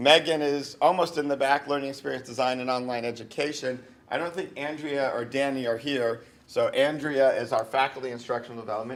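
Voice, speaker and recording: Fairly quick and fairly even in intonation, the speech comes in a Northeastern US accent. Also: man, medium pitch for a man. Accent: Northeast US. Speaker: university vice provost. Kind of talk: informal campus presentation. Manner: casual, hesitant with frequent ums.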